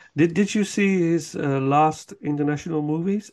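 A man talks with a fairly high pitch. His pitch varies in an ordinary way. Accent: Dutch. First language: Dutch. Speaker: podcast host. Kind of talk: casual chat.

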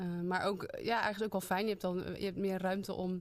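A woman at a fairly quick pace with monotone, flat intonation. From Zeeland, Zeeuws-Vlaanderen (Hulst). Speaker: theatre programmer. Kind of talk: casual interview. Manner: hesitant, many fillers.

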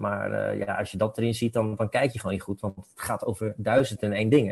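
A man's voice is somewhat breathy. He talks fairly quickly. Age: 40s. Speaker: film educator. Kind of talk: casual chat.

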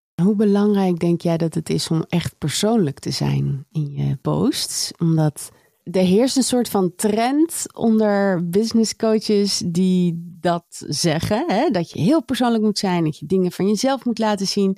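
Dry and close with no echo, a woman's medium-pitched voice has a dark, mellow tone and lively intonation, moving at a very slow pace with hardly any pauses and very even loudness. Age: 40s. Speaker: podcast host. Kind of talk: podcast interview.

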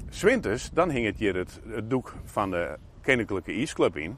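A man with a Frisian accent and lively intonation. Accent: Frisian-accented Dutch. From Friesland, Netherlands. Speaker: local politician. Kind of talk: casual interview. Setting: outdoors. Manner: halting.

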